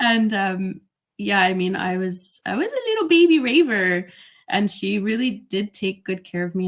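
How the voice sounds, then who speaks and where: With a Canadian accent, a woman speaks at a moderate pace. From Canada, Greater Toronto Area. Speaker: DJ. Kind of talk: interview. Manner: casual, with fillers.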